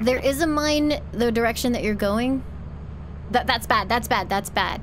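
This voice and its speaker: A woman with a fairly high pitch holds a very even loudness against noticeable background noise. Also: ordinary pitch variation. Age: 20s. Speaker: vtuber streamer. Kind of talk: live gaming stream chat. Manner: fast.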